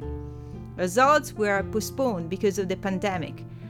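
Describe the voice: Aloud reading, plain in style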